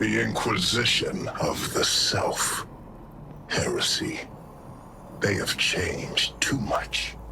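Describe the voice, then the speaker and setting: A man's put-on character voice at a very slow pace, with long, frequent pauses. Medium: video game. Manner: proud, imperious.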